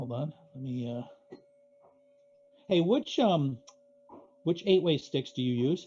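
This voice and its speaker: Over music in the background, a man with a fairly high pitch talks at a very slow pace, his loudness swinging widely between long, frequent pauses. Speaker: home arcade hobbyist. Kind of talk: casual chat.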